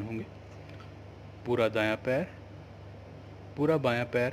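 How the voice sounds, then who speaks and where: In a calm, soothing tone, a man talks at a medium pitch with ordinary pitch variation. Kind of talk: guided yoga nidra meditation instructions. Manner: slow, calm, soothing.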